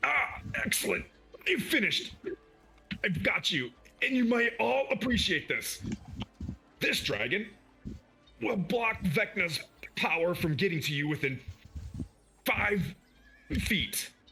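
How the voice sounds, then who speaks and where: A man uses a put-on character voice pitched high, speaking at a fairly slow pace with long, frequent pauses. Music plays in the background. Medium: actual play.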